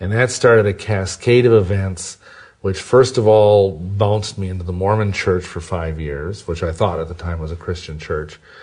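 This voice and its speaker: A somewhat breathy voice moves at a moderate pace with ordinary pitch variation and big swings in loudness. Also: man, very deep, low pitch for a man. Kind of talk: interview testimony.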